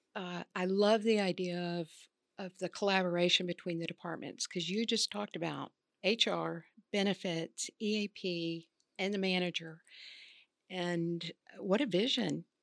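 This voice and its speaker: A woman with an unremarkable speaking voice talks at a moderate pace, her medium pitch held in fairly even intonation. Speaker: podcast co-host. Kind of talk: interview, conversational.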